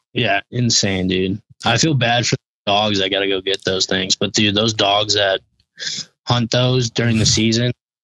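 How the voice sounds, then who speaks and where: In a normal speaking voice, a man with an American accent talks at a fairly slow pace with fairly even intonation. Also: very even loudness. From Colorado. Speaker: hunting photographer and videographer. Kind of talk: casual chat.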